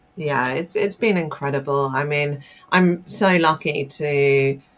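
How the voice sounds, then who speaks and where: At a fairly slow pace, a woman speaks with a very deep, low pitch and fairly even intonation. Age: 30s. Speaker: telecom industry executive. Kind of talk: interview. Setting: podcast.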